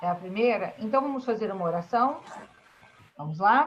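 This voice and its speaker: This is a woman speaking. Her pitch is medium. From Brazil, Espírito Santo (Vila Velha). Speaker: school teacher. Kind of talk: online class lesson. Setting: video call.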